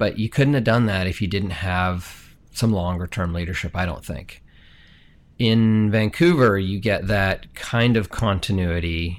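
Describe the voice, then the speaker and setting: At a moderate pace, a man with an American accent uses a normal speaking voice, fairly low in pitch with ordinary pitch variation, in a very clean recording with a silent background. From international upbringing, teens in Colorado. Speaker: city manager. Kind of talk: interview.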